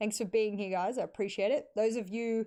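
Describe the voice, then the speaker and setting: Against a quiet background, a woman with an Australian accent speaks in a dark, mellow tone with fairly even intonation. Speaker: esports caster and analyst. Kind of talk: solo podcast livestream. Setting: live stream.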